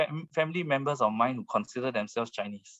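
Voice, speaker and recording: In a Singaporean accent, a man talks at a moderate pace with ordinary pitch variation. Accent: Baba Peranakan Singaporean. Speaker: author and speaker on history. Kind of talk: online talk Q&A answer. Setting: video call. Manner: hesitant with many fillers.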